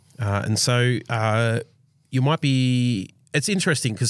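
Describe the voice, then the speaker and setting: In a very clean recording with a silent background, a man speaks with an Australian accent and ordinary pitch variation. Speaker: church team member. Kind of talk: casual chat.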